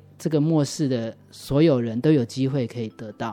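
With music in the background, a man speaks at a moderate pace, showing ordinary pitch variation. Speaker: church member giving testimony. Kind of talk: testimony. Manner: hesitant, many fillers.

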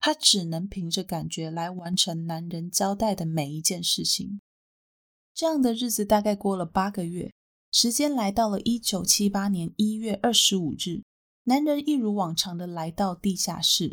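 A woman with a Taiwanese accent speaks with lively intonation. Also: medium pitch for a woman, moderate pace. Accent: Taiwanese Mandarin. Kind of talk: storytelling narration.

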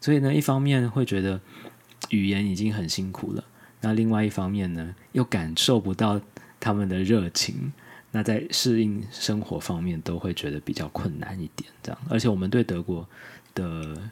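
A man speaks in a normal speaking voice, fairly low in pitch. His intonation is lively and his pace moderate. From Taiwan. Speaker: immigrant spouse and language blogger. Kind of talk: casual interview.

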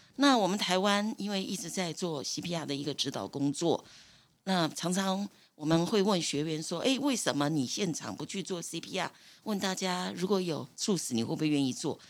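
Her pitch fairly low, a woman talks at a moderate pace with lively intonation. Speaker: retired nursing supervisor. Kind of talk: interview.

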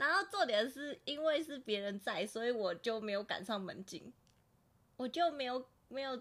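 With lively intonation, a woman talks at a moderate speed. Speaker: podcast co-host. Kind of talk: casual chat.

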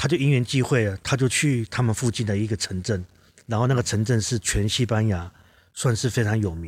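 A man with a Taiwanese accent, somewhat breathy, medium in pitch with ordinary pitch variation, at a fairly quick pace, in a very clean recording with a silent background. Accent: Taiwanese Mandarin. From southern Taiwan, Kaohsiung. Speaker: ceramic artist and teacher. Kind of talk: casual interview chat.

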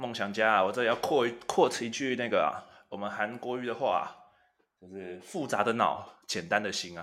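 Speaking at a fairly quick pace, a man with a medium-pitched voice is heard with audible room echo. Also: ordinary pitch variation. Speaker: podcast co-host. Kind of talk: casual chat.

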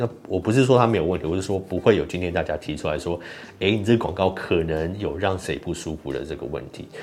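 Talking at a very fast pace, a man has a very deep, low pitch with ordinary variation. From Taiwan. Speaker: YouTuber and podcaster. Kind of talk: solo commentary podcast. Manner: halting, many fillers.

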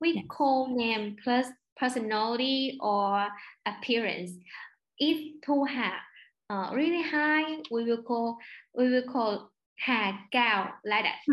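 A woman with a Vietnamese accent at a high pitch and a very slow pace, with long, frequent pauses, very even loudness and ordinary pitch variation. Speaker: overseas student. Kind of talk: interview. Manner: halting.

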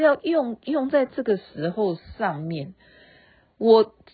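A woman with a fairly high, somewhat breathy voice speaks in a relaxed tone, her pitch swinging very widely. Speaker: podcast host. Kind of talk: casual late-night monologue. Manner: relaxed, chatty with fillers.

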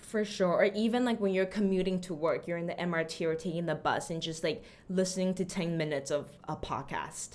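Speaking at a medium pitch with ordinary pitch variation, a woman has an unremarkable speaking voice. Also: fairly quick pace. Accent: American. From Austin, Texas (after early childhood in Taiwan). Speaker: language teacher. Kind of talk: interview.

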